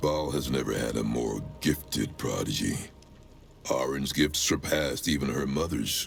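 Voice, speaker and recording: A man does a put-on character voice at a moderate pace. Clear background noise runs underneath. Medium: video game. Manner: grim, solemn, menacing.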